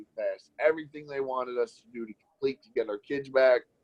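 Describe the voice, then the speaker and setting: The voice has an animated tone with ordinary pitch variation. The sound is dry and close, with no echo. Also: man. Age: 30s. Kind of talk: testimony.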